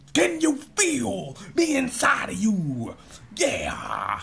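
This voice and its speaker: A man puts on a character voice, high-pitched and very slow. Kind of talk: sermon-like. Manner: over-the-top, sanctimonious, mocking.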